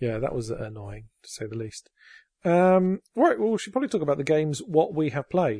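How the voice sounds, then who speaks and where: A man with an English accent speaks at a fairly quick pace, his fairly high voice dark, mellow and somewhat breathy. His pitch swings very widely, and the sound is dry and close with no echo against a quiet background. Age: 40s. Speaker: podcast host. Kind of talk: casual chat. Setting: home recording.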